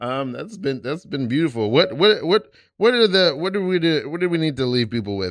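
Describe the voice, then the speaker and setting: The recording is very clean with a silent background. A man with an American accent speaks at a fairly quick pace, his pitch swinging very widely. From East New York, Brooklyn. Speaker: podcast host. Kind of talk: casual chat. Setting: studio. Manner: animated.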